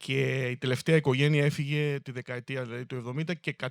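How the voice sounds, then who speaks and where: A man speaks at a medium pitch in a flat, monotone delivery, recorded very cleanly against a silent background with a dry, close sound and no echo. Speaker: town mayor. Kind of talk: public speech about local history. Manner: hesitant, many fillers.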